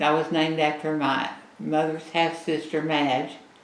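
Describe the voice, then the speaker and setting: With an American accent, the speaker goes at a fairly slow pace amid noticeable background noise and audible room echo. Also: woman. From Oklahoma (Seminole, Ada). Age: 80s+. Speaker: interviewee sharing family history. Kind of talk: casual interview.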